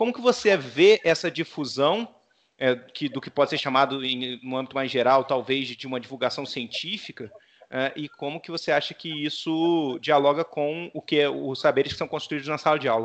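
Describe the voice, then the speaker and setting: A man speaks in an unremarkable speaking voice, fairly high-pitched, at a moderate pace with ordinary pitch variation. His loudness swings widely against a quiet background. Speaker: podcast host. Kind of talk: interview.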